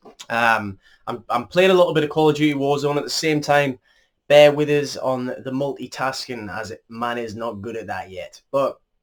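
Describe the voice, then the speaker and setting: A man's fairly high-pitched voice shows ordinary pitch variation and big swings in loudness. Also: moderate pace, very clean recording, silent background. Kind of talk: casual storytelling over gameplay.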